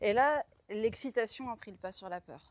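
A woman talks with ordinary pitch variation in a very clean recording against a silent background. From France, Troyes in Champagne. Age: 40s. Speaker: diver and underwater explorer. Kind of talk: interview. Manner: hesitant.

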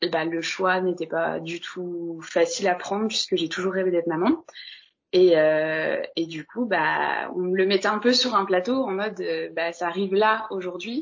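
At a medium pitch and a fairly slow pace, a woman talks with ordinary pitch variation in an unremarkable speaking voice. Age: 20s. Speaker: interviewee sharing abortion experience. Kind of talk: personal testimony.

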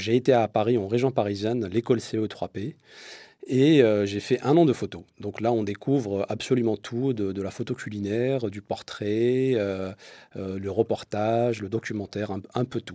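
A man's dark, mellow tone comes through dry and close with no echo as he speaks at a fairly slow pace with fairly even intonation. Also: medium pitch for a man, quiet background. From Morocco, Casablanca. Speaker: photographer. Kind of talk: interview.

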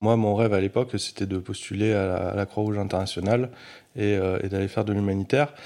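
Over a silent background in a very clean recording, a man with a dark, mellow tone and fairly low pitch speaks very fast with fairly even intonation. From France, Grenoble area. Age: 30s. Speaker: philanthropist, foundation founder. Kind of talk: interview testimony. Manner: halting, many hesitations.

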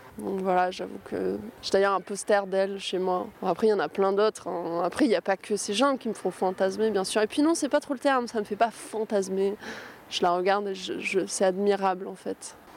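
The speaker uses an unremarkable speaking voice at a moderate pace with ordinary pitch variation. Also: woman, medium pitch for a woman. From southern France, Var. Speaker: musician, guitarist. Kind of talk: interview.

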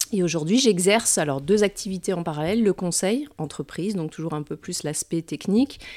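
In a very clean recording with a silent background and a dry, close sound without echo, a woman uses an ordinary speaking voice at a fairly low pitch, talking at a fairly quick pace with lively intonation and hardly any pauses. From France, Metz (Lorraine). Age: 40s. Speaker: hypnotherapist and entrepreneur. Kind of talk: interview.

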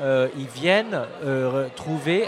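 A man talks over noticeable background noise. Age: 40s. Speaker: startup founder. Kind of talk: casual chat. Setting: live event with audience.

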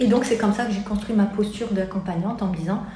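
Against audible room echo and noticeable background noise, a woman speaks with fairly even intonation. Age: 30s. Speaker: life coach. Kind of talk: interview. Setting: in her office. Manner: halting.

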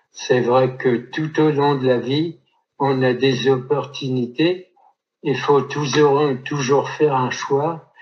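Somewhat breathy, this voice moves at a very slow pace with monotone, flat intonation. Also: man. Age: 70s. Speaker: photographer, retired insurance employee and author. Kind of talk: interview testimony. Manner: halting, many repetitions.

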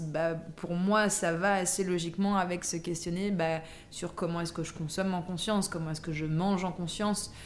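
In a room with audible echo, a woman speaks at a moderate pace in a fairly low pitch, with monotone, flat intonation and hardly any pauses. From France, Versailles. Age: 30s. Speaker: life coach. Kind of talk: casual interview. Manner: hesitant, many fillers.

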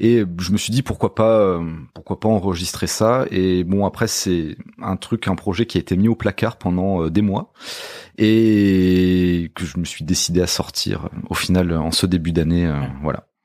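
This man speaks at a fairly slow pace in a very deep, low pitch, with ordinary pitch variation. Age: 30s. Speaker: musician. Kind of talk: casual chat. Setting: at the host's home.

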